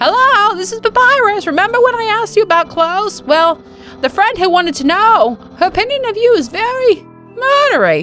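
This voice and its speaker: Someone uses a put-on character voice at a fairly quick pace, with clear music in the background. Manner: loud, earnest, pompous.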